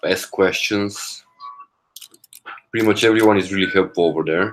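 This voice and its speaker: At a moderate pace, a man is speaking. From Bulgaria. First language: Bulgarian. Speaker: coding study livestreamer. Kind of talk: casual livestream chat. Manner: halting, with repeated words.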